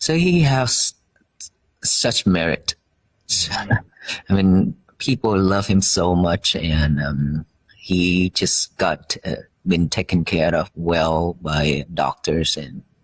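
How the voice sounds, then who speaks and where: A man with a Vietnamese accent speaks at a very slow pace in a very deep, low pitch, with ordinary pitch variation and long, frequent pauses. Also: dry, close sound with no echo. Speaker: Buddhist monk. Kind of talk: interview. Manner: halting.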